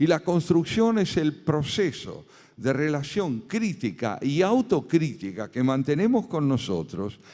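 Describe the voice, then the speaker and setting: A man with an Argentine accent, a dark, mellow tone, fairly high pitch, very wide pitch swings and a very slow pace. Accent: Argentine Spanish (Rioplatense). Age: 70s. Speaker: philosopher and essayist. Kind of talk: lecture. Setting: conference with audience.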